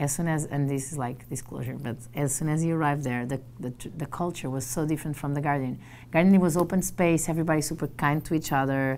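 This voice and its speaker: Speaking very fast in a Portuguese accent, a woman uses a very deep, low pitch and fairly even intonation over light background noise. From Portugal. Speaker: journalist and trainer. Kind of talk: casual interview. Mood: animated, friendly. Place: office. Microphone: lapel.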